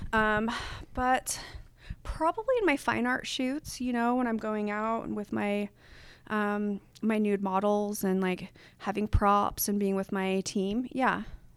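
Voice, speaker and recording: A woman with an American accent has an unremarkable speaking voice and a fairly high pitch. Her intonation is fairly even and her pace fairly slow. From Utah, Salt Lake City. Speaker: photographer. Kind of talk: casual chat; guided meditation.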